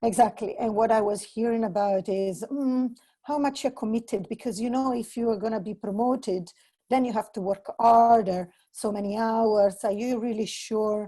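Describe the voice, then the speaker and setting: A woman with an Italian accent speaks at a fairly high pitch. Her tone is dark and mellow, with fairly even intonation. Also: moderate pace. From Italy. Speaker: entrepreneur. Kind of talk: casual chat.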